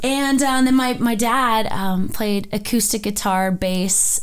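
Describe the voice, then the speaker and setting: This woman speaks in an American accent at a very slow pace. Her pitch variation is ordinary. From North Dakota, US. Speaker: country singer. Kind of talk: interview.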